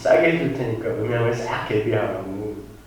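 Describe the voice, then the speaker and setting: Noticeable background noise, audible room echo and speech at a moderate speed. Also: man. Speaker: pastor. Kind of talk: sermon. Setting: church. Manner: loud. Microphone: poor church sound system.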